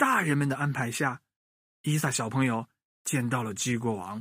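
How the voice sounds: A man's medium-pitched voice with a fairly bright tone and a slightly husky edge, lively intonation, a moderate pace, and a dry, close sound with no echo.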